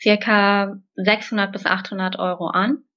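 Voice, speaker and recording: A woman speaks at a medium pitch. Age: 20s. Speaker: graphic designer. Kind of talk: interview. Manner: hesitant fillers.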